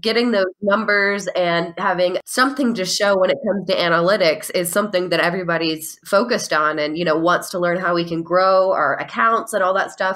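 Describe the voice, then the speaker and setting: A woman speaks with an enthusiastic tone at a medium pitch and a fairly quick pace. Her pitch variation is ordinary, and there are hardly any pauses. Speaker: podcast host. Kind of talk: podcast interview.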